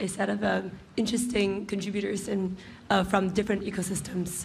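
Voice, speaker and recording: Vocal fry comes through the voice along with audible room echo. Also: woman. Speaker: panel moderator. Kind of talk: panel discussion. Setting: stage with audience. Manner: halting.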